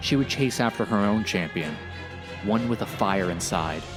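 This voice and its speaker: Over music in the background, a man speaks in a very deep, low pitch with ordinary pitch variation. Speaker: storyteller. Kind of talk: video game lore narration.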